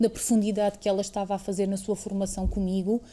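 This woman's voice is somewhat breathy, with a dark, mellow tone at medium pitch. She keeps a moderate pace. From Portugal, Alentejo (Estremoz). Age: 30s. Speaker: museum director, former member of parliament. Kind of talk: interview. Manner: halting, with frequent fillers.

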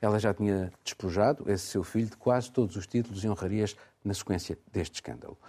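A man with a dark, mellow tone and fairly low pitch speaks at a fairly quick pace. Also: ordinary pitch variation. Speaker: radio host. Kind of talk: news reading and moderated discussion.

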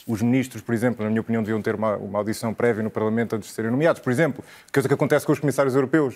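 A man at a medium pitch and a very fast pace, with fairly even intonation, on a very clean recording with a silent background. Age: 30s. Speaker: economist and podcaster. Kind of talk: TV debate. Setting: TV studio.

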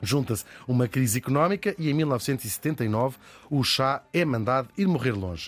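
A man's normal speaking voice at medium pitch and moderate pace, with lively intonation. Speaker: podcast host. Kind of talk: scripted narration.

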